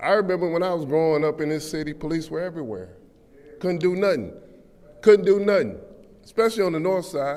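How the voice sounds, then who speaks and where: Talking very fast in a high pitch with an American accent, a man uses ordinary pitch variation and long, frequent pauses, with audible room echo around him. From Flint, Michigan. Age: 60s. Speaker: public commenter. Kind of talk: public comment at council meeting. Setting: city council chamber. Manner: animated.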